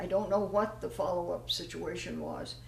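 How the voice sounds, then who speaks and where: Some background noise is clearly present as a woman talks, and the room gives off a noticeable echo. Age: 80s+. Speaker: nutrition advocate. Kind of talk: informal health talk.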